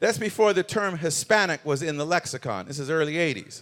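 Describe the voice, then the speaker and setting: A man talks at a very fast pace with a bright, sharp tone. His pitch sits fairly high. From Canada. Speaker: keynote speaker. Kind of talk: keynote talk. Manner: animated.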